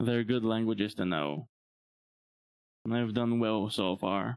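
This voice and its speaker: His pitch sits in the medium range. The man's speech goes very slowly. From Bulgaria. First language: Bulgarian. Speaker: VTuber streamer. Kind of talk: livestream monologue.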